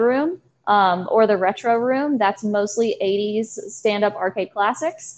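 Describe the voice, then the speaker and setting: In a Virginia accent, a woman with a fairly high pitch and ordinary pitch variation talks with hardly any pauses at a very even loudness against a quiet background. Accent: Southern US (Virginia). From US South, southern Virginia (Danville). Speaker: arcade manager. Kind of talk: casual interview.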